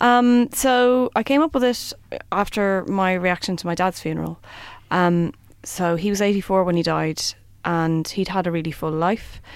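A woman talks in an Irish accent at a moderate pace and medium pitch, with ordinary pitch variation. The recording is very clean, with a silent background. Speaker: theatre performer. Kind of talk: interview.

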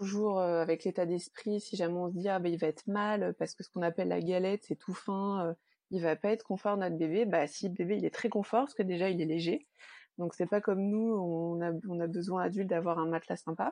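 A woman with an unremarkable speaking voice talks at a fairly quick pace with fairly even intonation against a quiet background. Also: medium pitch for a woman. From Normandy, France. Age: 30s. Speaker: perinatal support worker, bereaved mother. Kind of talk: interview testimony.

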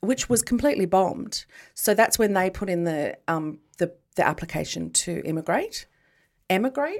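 A woman with an Australian accent and lively intonation, on a very clean recording with a silent background. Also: medium pitch for a woman, moderate pace. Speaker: podcast co-host. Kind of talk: casual chat. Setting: studio.

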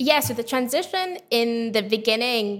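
A woman's voice, fairly high in pitch, with ordinary pitch variation. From Saudi Arabia (British expat), then Harrogate from 15. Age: 20s. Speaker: travel and food blogger. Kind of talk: interview. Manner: hesitant, many fillers.

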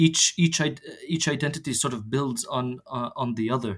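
This man's voice is somewhat breathy. His pitch varies an ordinary amount. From Jerusalem. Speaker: theologian and journal co-editor. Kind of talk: interview. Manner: halting, many fillers and repetitions.

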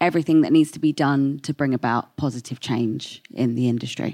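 A woman speaks at a moderate pace. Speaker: podcast co-host and panel moderator. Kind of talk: panel moderation.

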